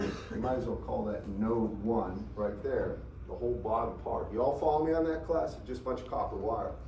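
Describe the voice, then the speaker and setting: At a moderate pace, a man talks amid audible room echo. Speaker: engineering professor. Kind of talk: lecture. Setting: classroom.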